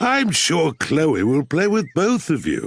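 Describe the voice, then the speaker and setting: A man's cartoonish character voice, high-pitched with very wide pitch swings, at a fairly slow pace on a very clean recording with a silent background. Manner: jolly, easygoing.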